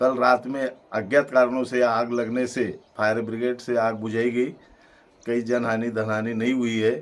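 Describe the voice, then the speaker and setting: A medium-pitched man with a monotone, flat intonation. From Madhya Pradesh, Barwani district. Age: 60s. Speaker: village elder. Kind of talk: interview.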